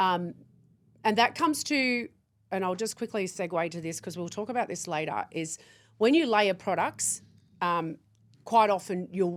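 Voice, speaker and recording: In a very clean recording with a silent background, a woman with an Australian accent speaks at a moderate pace with ordinary pitch variation and long, frequent pauses. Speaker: skincare company founder. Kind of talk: casual chat.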